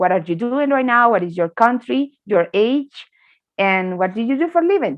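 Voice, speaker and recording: Her pitch fairly high and swinging very widely, a woman speaks at a moderate pace with a Spanish accent. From Colombia. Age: 20s. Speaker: English teacher. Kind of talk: online class.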